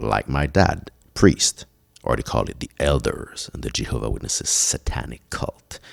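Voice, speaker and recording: This man talks with a French accent. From Quebec, Montreal. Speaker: podcast host. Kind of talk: solo podcast monologue.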